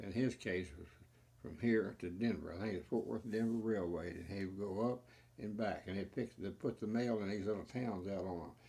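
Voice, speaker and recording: A man's dark, mellow tone moves at a moderate pace with ordinary pitch variation. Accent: Texan. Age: 80s+. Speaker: family storyteller. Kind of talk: interview answer.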